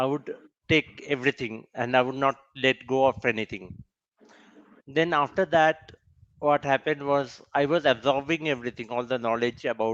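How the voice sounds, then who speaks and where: A man with a Bengali accent, medium pitch, fairly even intonation and a moderate pace, in a dry, close sound with no echo. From India, West Bengal. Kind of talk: personal testimony at a summit. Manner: halting, with fillers and self-corrections.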